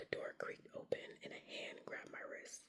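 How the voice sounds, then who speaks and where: The speaker whispers at a moderate pace. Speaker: ASMR creator. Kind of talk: ASMR book reading. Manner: whispered.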